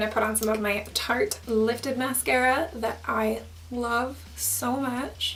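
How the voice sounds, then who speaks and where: A woman speaks at a very even loudness. There is noticeable background noise and audible room echo. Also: fairly slow pace. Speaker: beauty YouTuber. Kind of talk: tutorial. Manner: chatty.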